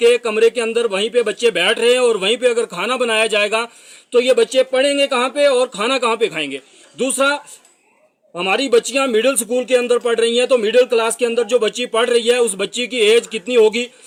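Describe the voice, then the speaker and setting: The man's pitch is extremely high and his intonation fairly even. The sound is dry and close, with no echo. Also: moderate pace. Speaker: local reporter. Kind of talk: public appeal to officials. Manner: formal.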